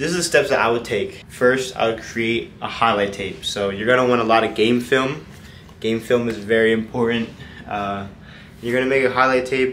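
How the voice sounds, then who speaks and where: Over light background noise, a man speaks at a moderate pace. His pitch variation is ordinary. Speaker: college athlete vlogger. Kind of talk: casual vlog chat answering questions. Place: home room. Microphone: phone near.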